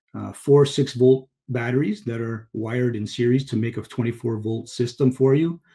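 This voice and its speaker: A man's somewhat breathy voice, dark and mellow in tone, with fairly even intonation over a quiet background. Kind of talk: webinar product explanation. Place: home room. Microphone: webcam.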